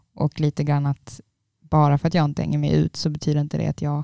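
Very fast speech comes through dry and close, with no echo. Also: woman. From Trelleborg, Skåne. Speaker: university student. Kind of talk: casual chat.

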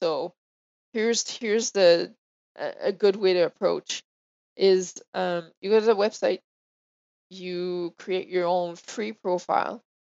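A woman with a French accent speaks at a medium pitch with fairly even intonation. Her pace is fairly slow, broken by long, frequent pauses. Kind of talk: casual chat.

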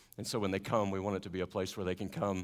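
A man with a slight Southern US accent speaks at a very fast pace in a very clean recording with a silent background. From US South; Carolinas. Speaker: missionary. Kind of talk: church talk to congregation. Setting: church. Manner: warm, friendly.

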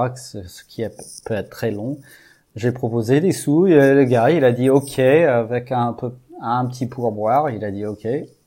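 Speaking very slowly, a man with an American accent has a medium pitch and ordinary pitch variation. His tone is dark and mellow. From US, Texas (Houston). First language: English (speaking French). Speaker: amateur baseball field builder. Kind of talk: interview.

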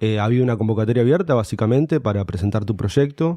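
A man with an Argentine accent speaks in a medium pitch with a dark, mellow tone. His pitch varies in an ordinary way against a quiet background. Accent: Rioplatense Argentine Spanish. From Morón, Buenos Aires province, Argentina. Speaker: musician and DJ. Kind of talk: casual interview chat.

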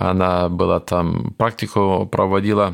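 Intonation here is monotone and flat. Each word comes very slowly. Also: man. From Kyrgyzstan (Soviet era), village; raised in Germany from age 9. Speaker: missionary. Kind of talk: testimony. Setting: studio. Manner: halting.

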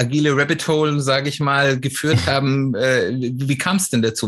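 At a moderate pace, a man talks in a plain, everyday voice. His pitch is fairly high. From Swabia, southwestern Germany. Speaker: podcast host. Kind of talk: interview.

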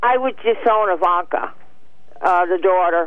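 A woman's speech comes at a fairly slow pace, its pitch varying in an ordinary way. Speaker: caller. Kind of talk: casual chat. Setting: phone call.

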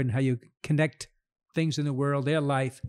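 Speaking with an American accent, a man with a fairly high pitch and a dark, mellow tone keeps fairly even intonation in a dry, close sound with no echo. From New York, Queens. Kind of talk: casual interview. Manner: laughs often.

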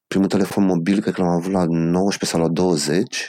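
A very deep, low male voice with a dark, mellow tone, delivered at a moderate pace. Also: dry, close sound with no echo. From Romania, Bacău and Cluj-Napoca. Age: 40s. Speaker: rock band singer. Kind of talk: casual interview.

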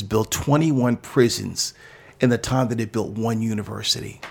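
A man speaks at a medium pitch. His voice has vocal fry. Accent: American. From New York City. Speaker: pastor. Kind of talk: interview.

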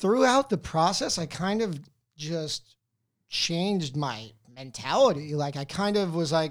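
Speaking with an American accent, a man has an unremarkable speaking voice at a fairly high pitch with ordinary pitch variation and a fairly slow pace. The recording is very clean with a silent background. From New Jersey, US. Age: 30s. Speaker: doctor and movie podcaster. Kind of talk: casual interview chat. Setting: studio.

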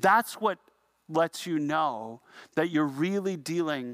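Speaking fairly slowly with a Canadian accent, a man uses a normal speaking voice, fairly high in pitch with lively intonation, captured dry and close with no echo on a very clean recording with a silent background. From Canada, Niagara region. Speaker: pastor. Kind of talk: sermon.

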